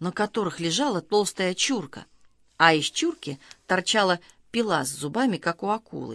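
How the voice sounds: Just a natural reading voice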